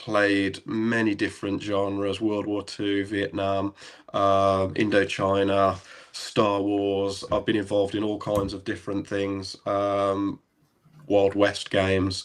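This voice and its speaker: A man's fairly low, relaxed voice at a very slow pace, monotone and flat, on a very clean recording with a silent background. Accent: English Midlands. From English Midlands, near Birmingham. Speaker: airsoft site owner and photographer. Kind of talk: interview, telling his story. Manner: relaxed, hesitant with many ums.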